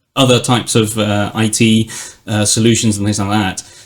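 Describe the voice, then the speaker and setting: In a very clean recording with a silent background, a man with a British accent talks at a fairly low pitch. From Britain. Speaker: technology executive. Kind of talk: podcast interview.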